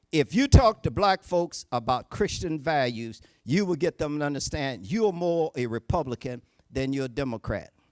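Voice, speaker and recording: A man speaks at a moderate pace with a Southern US accent, his voice fairly high and his intonation lively. The sound is dry and close, with no echo. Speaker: Baptist preacher and political candidate. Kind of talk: political speech. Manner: animated.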